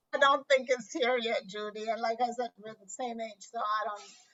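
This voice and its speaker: Using an ordinary speaking voice, a woman talks at a moderate pace and a fairly high pitch. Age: 60s. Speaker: podcaster acting as interviewer. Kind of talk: casual interview conversation.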